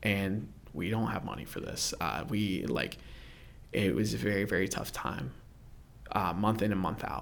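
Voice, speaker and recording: With an American accent and a very deep, low pitch, a man talks at a moderate pace with vocal fry, lively intonation, long, frequent pauses and audible room echo. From Central Florida, Orlando area. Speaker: church youth worker. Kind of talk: personal testimony interview. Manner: casual, filler-heavy.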